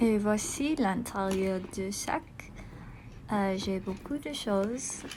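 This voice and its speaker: Long, frequent pauses break up a woman's very slow speech. Her pitch is medium with ordinary variation, and the room echo is audible. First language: not French (speaking French). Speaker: video blogger. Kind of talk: casual product show-and-tell. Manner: halting, many hesitations.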